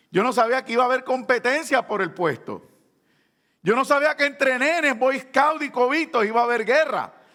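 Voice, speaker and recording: A man shouts out in a raised, projected voice with an extremely high pitch and a bright, sharp tone. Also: ordinary pitch variation, moderate pace. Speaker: pastor. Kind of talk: sermon.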